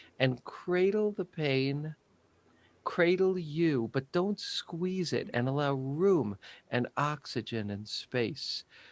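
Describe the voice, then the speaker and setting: In a dry, close sound with no echo and a quiet background, a man with a fairly high pitch talks at a very slow pace with lively intonation. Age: 60s. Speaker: psychotherapist. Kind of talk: interview.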